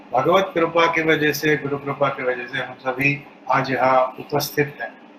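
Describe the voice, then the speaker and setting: Over noticeable background noise, a man with a South Indian accent speaks at a fairly high pitch with fairly even intonation. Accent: South Indian accent in Hindi. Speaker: spiritual speaker. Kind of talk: religious discourse.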